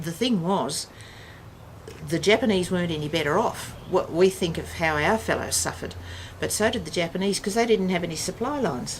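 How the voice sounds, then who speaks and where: A woman speaks at a fairly quick pace in a fairly low voice, with noticeable background noise behind her. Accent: Australian. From Western Australia. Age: 60s. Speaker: family elder recounting history. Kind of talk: casual chat. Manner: halting.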